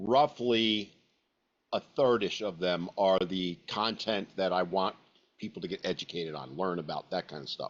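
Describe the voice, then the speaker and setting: This man has an unremarkable speaking voice and a fairly low pitch. He talks at a moderate pace with ordinary pitch variation. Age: 60s. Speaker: social media content creator and podcast host. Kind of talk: webinar discussion. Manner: casual, candid.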